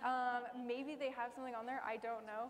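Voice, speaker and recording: Over noticeable background noise, a woman talks at a fairly quick pace. Her pitch is high. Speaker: tech professional on panel. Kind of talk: panel Q&A. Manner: fast.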